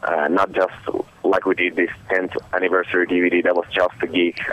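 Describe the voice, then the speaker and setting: Over noticeable background noise, a man with a very deep, low voice talks at a moderate pace in a Finnish accent. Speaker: metal band musician. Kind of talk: interview. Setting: phone call.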